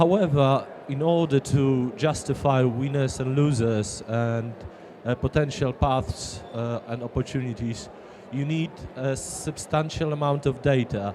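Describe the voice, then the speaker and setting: The speaker moves at a fairly slow pace with ordinary pitch variation while noticeable background noise plays. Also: man, medium pitch for a man. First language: not English. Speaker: audience member. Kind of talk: audience question.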